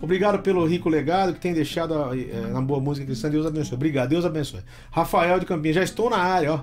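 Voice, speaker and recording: A man with a fairly high pitch talks in an animated tone at a very fast pace. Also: ordinary pitch variation. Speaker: show host. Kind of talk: casual chat.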